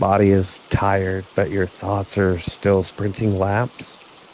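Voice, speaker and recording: A soft-spoken man talks at a very slow pace. Noticeable background noise runs under his voice. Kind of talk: sleep story. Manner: slow, soft-spoken.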